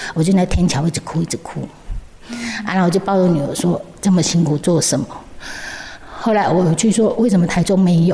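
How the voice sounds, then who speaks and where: A woman speaks fairly slowly, and noticeable background noise can be heard behind her. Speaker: founder of charity for deaf children. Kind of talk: interview. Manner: halting, repeats words.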